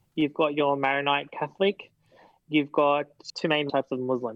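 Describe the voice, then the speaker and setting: A man with an Australian accent and a fairly high pitch talks at a moderate pace. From Sydney, Australia. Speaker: guest. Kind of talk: casual chat. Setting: video call.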